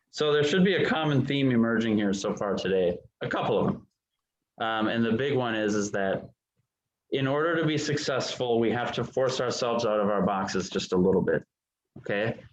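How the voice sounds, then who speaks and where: Lively intonation in an American accent, at a fairly quick pace with very even loudness. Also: man, medium pitch for a man. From Minnesota or Wisconsin. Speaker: real estate trainer. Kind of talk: training session. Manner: animated.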